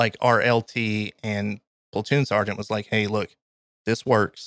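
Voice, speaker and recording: A man with a Kentucky accent at a fairly low pitch, monotone and flat, moving at a moderate pace with a dry, close sound and no echo. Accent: Kentucky Southern US. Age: 30s. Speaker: army veteran and graphic designer. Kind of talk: casual interview, storytelling.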